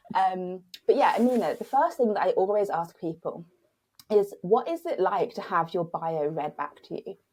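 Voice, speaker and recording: With a British accent, a woman speaks at a moderate pace. Her pitch sits in the medium range. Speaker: podcast host. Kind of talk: scripted introduction; casual interview chat. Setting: remote recording.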